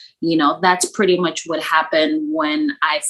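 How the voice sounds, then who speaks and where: She speaks with a bright, sharp tone and a Spanish accent. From Spanish-speaking household. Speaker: cross stitch hobbyist. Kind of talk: interview. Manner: casual with many fillers.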